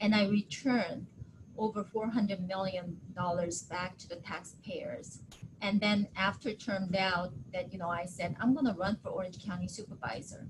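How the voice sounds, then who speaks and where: A woman with a Korean accent, somewhat breathy, at medium pitch with ordinary pitch variation, moderate pace, and big swings in loudness. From Japan. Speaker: county politician. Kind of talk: webinar interview.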